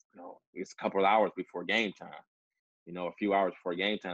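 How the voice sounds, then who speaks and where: A man speaks in a dry sound with no echo over a quiet background. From Detroit, US Midwest. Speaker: professional basketball player; interview guest. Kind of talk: interview. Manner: hesitant with many fillers. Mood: relaxed, reflective. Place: home room. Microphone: video call.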